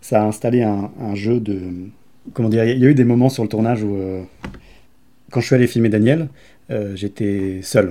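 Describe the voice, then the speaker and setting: At a moderate pace, a man speaks with a fairly low pitch and a dark, mellow tone. His intonation is fairly even, and he leaves long, frequent pauses. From France, Grenoble. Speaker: documentary filmmaker. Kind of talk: interview. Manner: halting, many hesitations.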